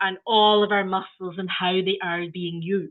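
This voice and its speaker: A woman with a Scottish accent talks at a moderate pace and medium pitch, with ordinary pitch variation. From Scotland, Glasgow. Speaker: early years trainer. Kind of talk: training webinar.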